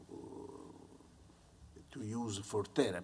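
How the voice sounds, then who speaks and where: A man with an Italian accent and a fairly low pitch, in audible room echo. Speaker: psychiatry professor. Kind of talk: conference talk. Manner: halting.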